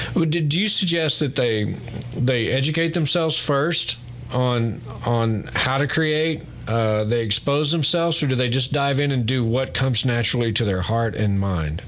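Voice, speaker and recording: A man with a medium-pitched voice talks at a moderate pace with lively intonation and very even loudness, over noticeable background noise. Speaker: radio host. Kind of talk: interview. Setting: studio.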